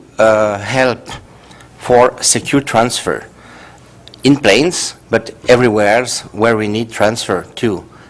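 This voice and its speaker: A man speaks at a fairly slow pace with a Swiss French accent. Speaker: professor. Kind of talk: conference talk. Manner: halting.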